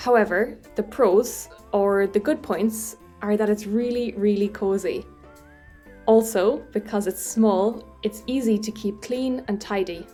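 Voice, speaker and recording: A woman with an Irish accent speaks at a fairly slow pace in a fairly high voice with fairly even intonation, music playing in the background. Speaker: English teacher. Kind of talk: educational podcast for English learners. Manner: slow, clear.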